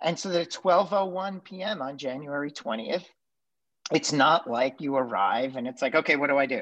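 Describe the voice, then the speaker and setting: A man's normal speaking voice at a fairly high pitch, with lively intonation and a moderate pace, against a quiet background. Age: 40s. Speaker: podcast co-host, former government official. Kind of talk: casual chat.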